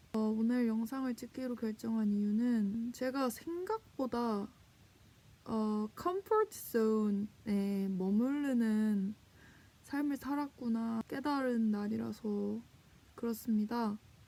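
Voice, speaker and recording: A woman with a fairly high pitch speaks at a very slow pace, her pitch varying in an ordinary way. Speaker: vlogger. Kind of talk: vlog monologue. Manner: casual, reflective.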